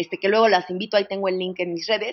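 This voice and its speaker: A woman talks with a Mexican accent. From Mexico. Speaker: psychologist. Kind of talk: interview.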